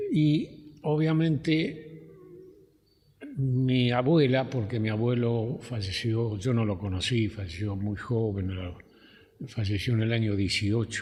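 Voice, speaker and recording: A man speaks very slowly with long, frequent pauses, and audible room echo surrounds his voice. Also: medium pitch for a man, ordinary pitch variation. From Argentina, Rivera (Buenos Aires province). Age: 80s+. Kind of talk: oral history interview. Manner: halting, hesitant.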